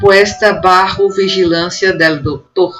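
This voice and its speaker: Behind the voice, music is playing. The delivery is rather slow. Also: woman. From Northeast Brazil. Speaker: university professor. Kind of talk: academic conference presentation.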